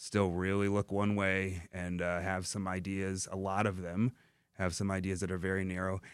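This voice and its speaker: A man with an American accent speaks in a very deep, low voice at a moderate pace, his intonation flat and monotone, on a very clean recording with a silent background. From US Midwest (Dearborn, Michigan). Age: 40s. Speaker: comic book writer. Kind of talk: radio interview. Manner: halting, many fillers and repetitions.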